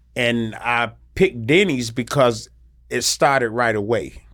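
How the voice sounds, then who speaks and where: In a North Carolina accent, a man with a medium-pitched voice speaks at a very slow pace in a very clean recording with a silent background. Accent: Southern US (North Carolina). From US South, North Carolina. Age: 50s. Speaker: military veteran in addiction recovery. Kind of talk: personal testimony. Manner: halting, with frequent fillers and repetitions.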